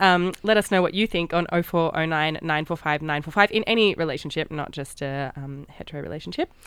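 Speaking with an Australian accent, a woman uses a fairly low pitch at a moderate pace with ordinary pitch variation, on a very clean recording with a silent background. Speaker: radio host. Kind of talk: radio dj patter. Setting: studio. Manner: chatty, warm, slightly rambling.

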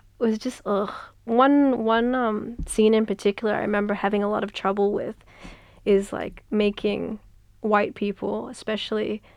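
This woman speaks with an Australian accent at a fairly high pitch and a moderate pace. Her intonation stays fairly even, and the background is quiet. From Western Sydney, Australia. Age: young. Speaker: author. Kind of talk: casual interview. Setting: radio studio. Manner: hesitant, many fillers.

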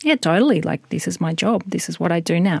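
In an Australian accent, a woman with a fairly low pitch is heard on a very clean recording with a silent background and a dry, close sound with no echo. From Western Australia (Albany). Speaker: radio documentary producer. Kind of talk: interview.

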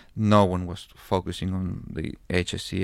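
A man speaks in a very deep, low voice on a very clean recording with a silent background. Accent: Spanish. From Chile. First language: Spanish. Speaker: anthropologist and filmmaker. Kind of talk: casual chat.

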